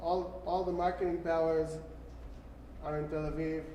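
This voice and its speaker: A man with a fairly high pitch talks at a fairly slow pace, with audible room echo and noticeable background noise. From Israel, Jerusalem. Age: 40s. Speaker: musician. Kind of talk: Q&A talk.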